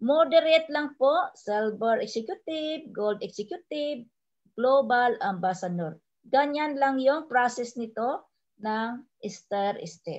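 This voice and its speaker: A woman speaks at a very slow pace in a high voice with lively intonation against a quiet background. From Philippines. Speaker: overseas Filipino worker, network marketing trainer; network marketing trainer. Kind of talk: sales presentation. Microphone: video call.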